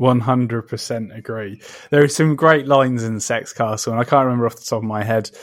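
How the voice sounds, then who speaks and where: A man talks in a British accent. His pitch is medium and his pace fairly quick. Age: 30s. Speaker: podcast host, comic book writer. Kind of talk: interview. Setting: conservatory. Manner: halting.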